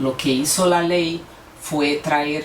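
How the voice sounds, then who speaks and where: A woman with a Brazilian accent speaks at a very slow pace in a very deep, low pitch, her intonation fairly even, with noticeable background noise and audible room echo. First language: Portuguese (speaking Spanish). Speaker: lawyer and mediator. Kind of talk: conference talk. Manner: halting, with fillers and self-corrections.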